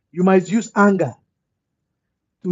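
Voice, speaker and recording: The pitch of this man's voice is high. He talks at a fairly slow pace. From West Africa. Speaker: livestream host. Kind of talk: motivational livestream talk.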